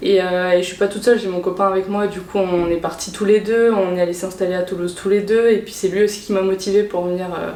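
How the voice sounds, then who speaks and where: A woman at medium pitch with monotone, flat intonation and a fairly quick pace, amid audible room echo and noticeable background noise. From Réunion. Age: 20s. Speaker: cross-border worker, import-export coordinator. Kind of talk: interview. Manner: hesitant, many fillers.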